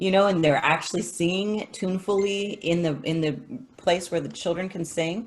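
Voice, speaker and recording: A woman's somewhat breathy voice at a moderate pace with ordinary pitch variation. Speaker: music teacher. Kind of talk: casual chat.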